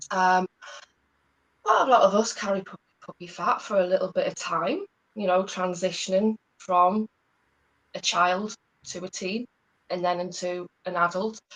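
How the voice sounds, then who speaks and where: In a slight Geordie accent, a woman talks at a medium pitch and a moderate pace with monotone, flat intonation and long, frequent pauses. Her loudness swings widely, and the sound is dry and close with no echo. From northern England, Newcastle. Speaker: hormone and gut health practitioner. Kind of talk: interview, life story. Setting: live stream.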